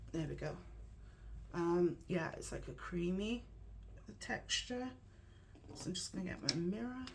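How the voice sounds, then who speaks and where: A woman whispers with long, frequent pauses. The room echoes audibly, and background noise is noticeable. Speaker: makeup tutorial youtuber. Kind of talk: tutorial. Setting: at home with painters in the room. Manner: whispering; casual, hesitant with fillers.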